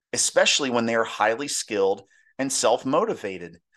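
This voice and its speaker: A normal speaking voice at a moderate pace, quiet background. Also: man. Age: 40s. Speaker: leadership podcast host. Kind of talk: monologue on leadership; personal story.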